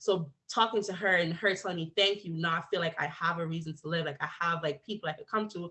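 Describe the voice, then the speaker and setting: Speaking at a fairly quick pace, a woman keeps her fairly low voice in fairly even intonation. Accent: American. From Jamaica, then Bronx, New York. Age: 20s. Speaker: college student. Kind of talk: personal testimony. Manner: casual, halting with fillers.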